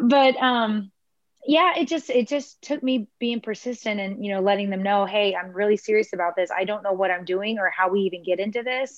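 A woman with an American accent speaks fairly quickly at a medium pitch, with ordinary pitch variation. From Houston, Texas. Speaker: country singer-songwriter. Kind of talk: casual interview. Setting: video call.

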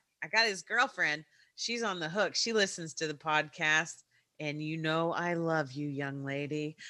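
Captured in a very clean recording with a silent background, a woman speaks at a fairly slow pace, her very deep, low pitch paired with a bright, sharp tone and ordinary pitch variation. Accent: American. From Kentucky, US. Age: 40s. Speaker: podcast host. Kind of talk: casual chat.

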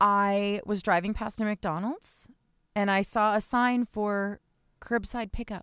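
A woman uses an ordinary speaking voice at a fairly slow pace. The recording is very clean and silent behind her, with a dry, close sound and no echo. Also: medium pitch for a woman, fairly even intonation. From New Jersey. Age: 30s. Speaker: podcast co-host. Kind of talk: casual chat. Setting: home closet recording.

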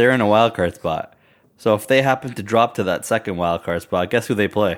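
Over a silent background in a very clean recording, a man speaks at a moderate pace in a plain, everyday voice, medium in pitch with ordinary pitch variation. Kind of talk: casual banter between two hosts, fantasy hockey talk. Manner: relaxed, laughing, chatty.

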